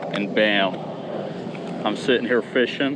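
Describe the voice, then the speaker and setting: Over noticeable background noise, a man speaks at a medium pitch and a moderate pace, with ordinary pitch variation. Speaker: kayak fishing youtuber. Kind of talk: outdoor vlog commentary. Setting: outdoors on a kayak. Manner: animated.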